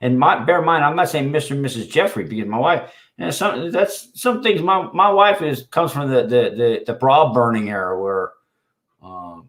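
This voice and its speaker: Loud and at a moderate pace, a man with a fairly high pitch speaks with very wide pitch swings. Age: 50s. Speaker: livestream host. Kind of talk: casual chat. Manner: halting.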